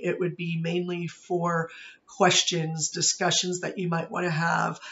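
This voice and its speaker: Using an American accent, a man speaks at a fairly slow pace with a high pitch and monotone, flat intonation. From Pittsburgh, Pennsylvania. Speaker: university professor. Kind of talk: course introduction video. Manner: casual with frequent fillers.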